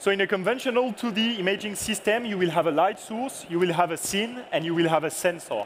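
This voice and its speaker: With a French accent, a man talks at a very fast pace in a high pitch with ordinary pitch variation. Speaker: product manager. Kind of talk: lecture.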